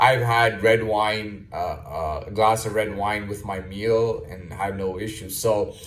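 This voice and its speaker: A man's somewhat breathy, fairly low voice with audible room echo. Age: 30s. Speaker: video blogger. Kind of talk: casual monologue. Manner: halting, many repetitions and fillers.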